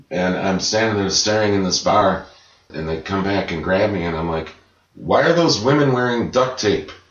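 With audible room echo around him, a man with an American accent speaks at a moderate pace in a fairly low voice with lively intonation. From Chicago. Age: 40s. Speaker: singer-songwriter. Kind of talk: casual interview. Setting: dining room.

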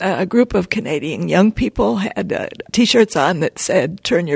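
The sound is dry and close with no echo. A woman with vocal fry speaks at a moderate pace, her pitch swinging very widely. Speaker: climate activist. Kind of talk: interview. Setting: in person on a college campus.

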